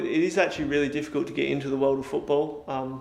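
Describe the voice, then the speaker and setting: A man with a slight Australian accent and fairly high pitch, talking at a very fast pace amid noticeable background noise and audible room echo. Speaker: sports scientist at a football club. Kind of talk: interview. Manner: hesitant, many fillers.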